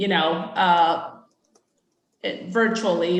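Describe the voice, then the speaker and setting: A woman's medium-pitched voice at a very slow pace, with audible room echo. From Mexico, moved to US at eight. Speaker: utility supplier diversity representative. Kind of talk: conference presentation. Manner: hesitant, many fillers.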